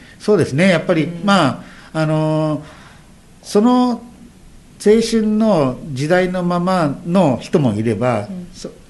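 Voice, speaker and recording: A man's high voice with very wide pitch swings, at a fairly slow pace, with audible room echo. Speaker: former street dance group leader. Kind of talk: radio interview. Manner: halting.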